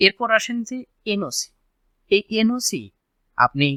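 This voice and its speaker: Dry and close with no echo, a man's bright, sharp voice moves with lively intonation. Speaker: YouTube channel host. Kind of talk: explainer vlog.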